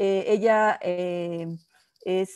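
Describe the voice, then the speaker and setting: A woman is speaking. The background is quiet. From Mexico City. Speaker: diplomat. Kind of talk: interview. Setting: video call. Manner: halting. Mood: warm, smiling, reminiscing. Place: home room. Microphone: earbuds.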